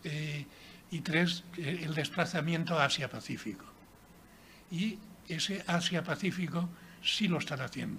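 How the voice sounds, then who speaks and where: The voice has a bright, sharp tone and fairly even intonation, moving at a fairly slow pace with long, frequent pauses. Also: man, high pitch for a man. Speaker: author and former mayor. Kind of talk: book presentation talk.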